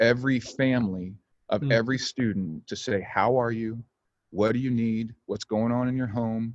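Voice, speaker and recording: A man with an American accent speaks at a moderate pace in a medium pitch, against a quiet background. His intonation is fairly even, and he has an unremarkable speaking voice. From Oklahoma. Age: 40s. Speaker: pastor. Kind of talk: casual chat. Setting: video call.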